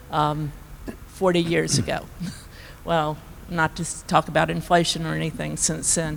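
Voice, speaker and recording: A woman's very deep, low voice with long, frequent pauses. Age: 70s. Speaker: panelist, business owner. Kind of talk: panel discussion.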